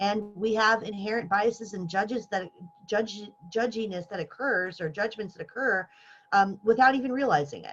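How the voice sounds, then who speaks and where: A woman's fairly high voice with ordinary pitch variation and big swings in loudness. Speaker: workshop presenter for faculty. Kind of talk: lecture. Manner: fast.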